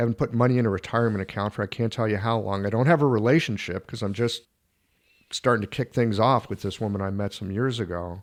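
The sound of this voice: Speech comes at a fast pace with ordinary pitch variation in a very clean recording with a silent background. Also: man, fairly low pitch for a man.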